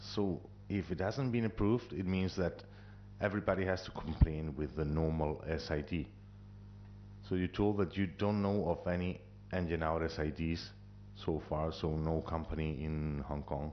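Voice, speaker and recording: With a very deep, low pitch, a man talks at a moderate pace with lively intonation. His speech has long, frequent pauses. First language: not English. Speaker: airline pilot at audience Q&A. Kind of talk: audience question at symposium.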